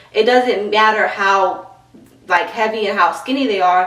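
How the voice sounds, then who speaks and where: A woman with a New York accent speaks at a fairly high pitch with ordinary pitch variation. Audible room echo and noticeable background noise come through. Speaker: fitness trainer and youtuber. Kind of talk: tutorial. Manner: fast; animated.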